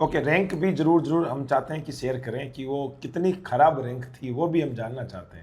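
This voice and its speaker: Speaking at a moderate pace with hardly any pauses, a man with a fairly high, somewhat breathy voice shows ordinary pitch variation and big swings in loudness. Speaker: nursing exam coaching teacher interviewing toppers. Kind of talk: interview. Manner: animated.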